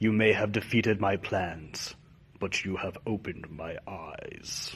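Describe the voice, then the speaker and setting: A man uses a put-on character voice pitched fairly low, delivered at a moderate pace. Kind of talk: comedy character sketches. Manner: dramatic.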